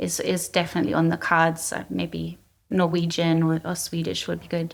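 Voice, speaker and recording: On a very clean recording with a silent background, a woman with a German accent speaks at a moderate pace. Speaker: cyber threat intelligence executive. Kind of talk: interview.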